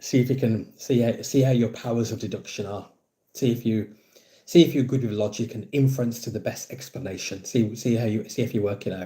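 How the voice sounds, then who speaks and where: Dark and mellow in tone, a man's somewhat breathy voice moves at a fairly quick pace with fairly even intonation. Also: medium pitch for a man. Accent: Brummie. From English Midlands, Birmingham. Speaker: football fan livestreamer. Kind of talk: live stream chat with viewers. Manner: casual, repetitive.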